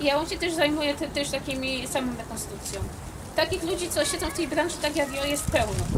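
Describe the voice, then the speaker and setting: A woman with a Silesian accent talks very fast at a high pitch with fairly even intonation. Noticeable background noise runs underneath. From Silesia, Poland. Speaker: historical costume maker. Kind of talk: interview answer.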